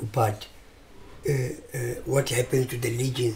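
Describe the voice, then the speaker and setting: A man's voice with noticeable background noise. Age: 70s. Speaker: retired football player. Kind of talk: interview. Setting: at home. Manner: halting.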